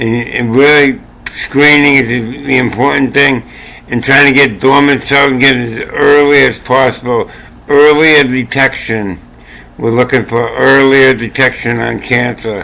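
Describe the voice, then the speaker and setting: Man's medium-pitched voice, monotone and flat, fairly slow, against noticeable background noise. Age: 60s. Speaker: channel owner sharing health opinions. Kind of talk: casual monologue. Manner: repetitive, halting.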